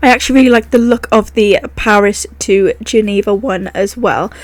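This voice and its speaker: A woman with a British accent talks at a moderate pace in a fairly high pitch. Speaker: gaming YouTuber. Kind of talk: gameplay commentary. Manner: animated.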